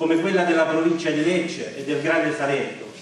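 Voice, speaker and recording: A man is heard in a space with strong room echo. Light background noise is present. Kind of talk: public speech. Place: hall.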